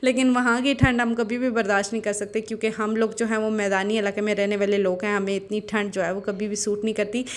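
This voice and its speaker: A woman speaks at a fairly high pitch with monotone, flat intonation. She keeps a moderate pace with hardly any pauses. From Pakistan, Abbottabad. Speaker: family vlogger. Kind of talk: vlog voiceover narration. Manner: casual, with fillers.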